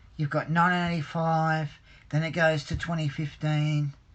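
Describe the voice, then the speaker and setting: Moderate pace in an Australian accent, against a quiet background. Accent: Australian, taken by a viewer for British. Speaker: hobbyist livestreamer. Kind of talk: live stream chat reading viewer comments. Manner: hesitant, many fillers and repetitions.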